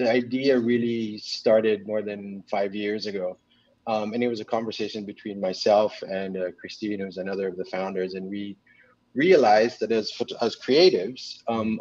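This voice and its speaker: In a normal speaking voice, a man talks at a fairly quick pace with fairly low pitch, ordinary pitch variation and big swings in loudness, recorded with a dry sound with no echo against a quiet background. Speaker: photographer and magazine publisher. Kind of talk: casual interview. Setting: video call. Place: home room. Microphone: video call.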